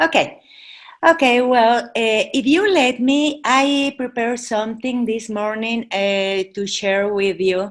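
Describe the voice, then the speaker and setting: A woman with a fairly high pitch speaks at a very slow pace, using ordinary pitch variation. The recording is very clean, with a silent background. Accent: Mexican. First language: Spanish. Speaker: charity president. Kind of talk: presentation. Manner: halting, many fillers.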